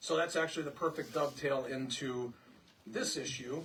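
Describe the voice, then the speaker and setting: A man is talking. He keeps his intonation fairly even. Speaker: village president. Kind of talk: presentation at public hearing. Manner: loud.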